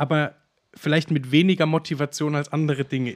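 A plain, everyday voice from a man, fairly high in pitch, fairly even in intonation, at a moderate pace. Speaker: podcast co-host. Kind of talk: casual chat.

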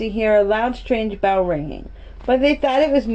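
Plain reading aloud carries ordinary pitch variation.

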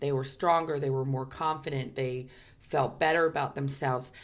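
With a New York accent, this woman shows ordinary pitch variation. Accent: New York American. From New York, US. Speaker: fragrance company co-founder. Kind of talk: interview. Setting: in person in Melbourne.

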